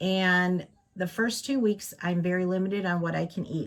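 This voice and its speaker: Very clean recording and silent background, a woman's voice fairly low in pitch. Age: 60s. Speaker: craft channel vlogger. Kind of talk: casual chat. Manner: hesitant, many fillers.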